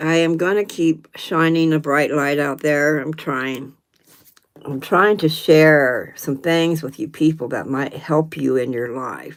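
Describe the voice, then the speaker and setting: A woman with a very deep, low pitch speaks at a fairly slow pace, her intonation fairly even. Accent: American. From US South, North Carolina. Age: 70s. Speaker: livestream host. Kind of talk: casual chat. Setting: live stream.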